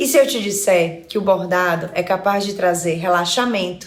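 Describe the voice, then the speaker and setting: A woman with a Fortaleza accent speaks at a fairly slow pace. Audible room echo and noticeable background noise fill the recording. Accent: Northeastern Brazilian (Fortaleza). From Brazil, Ceará (Fortaleza). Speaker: psychologist and embroidery teacher. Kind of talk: online lesson.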